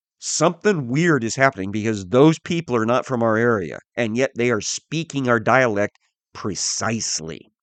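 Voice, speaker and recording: Speaking at a moderate pace and medium pitch, a man uses lively intonation in an American accent, an ordinary speaking voice. The sound is dry and close with no echo, over a quiet background. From US Midwest, southern Missouri. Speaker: Bible teacher. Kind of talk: Bible teaching podcast. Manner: conversational, with frequent fillers.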